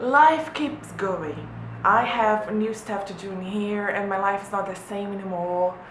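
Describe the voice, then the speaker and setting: A woman of medium pitch speaks at a fairly slow pace with ordinary pitch variation and big swings in loudness, amid noticeable background noise and audible room echo. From Brazil. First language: Portuguese. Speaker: vlogger, former exchange student. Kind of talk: casual vlog talk to camera. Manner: halting, many repetitions and fillers.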